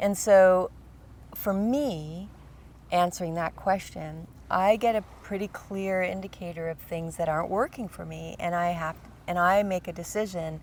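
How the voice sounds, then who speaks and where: A woman talks at a moderate pace in a medium pitch with fairly even intonation and a normal speaking voice. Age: 60s. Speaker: podcast co-host. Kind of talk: casual chat.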